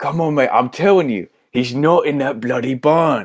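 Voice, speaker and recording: A man uses a put-on character voice at a fairly high pitch and a moderate pace. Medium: actual play. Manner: blunt, colloquial.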